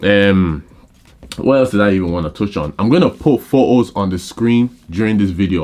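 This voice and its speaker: This man has a fairly low pitch. His pitch varies in an ordinary way. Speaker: photographer and camera reviewer. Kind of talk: casual video review. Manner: fast; casual, filler-heavy.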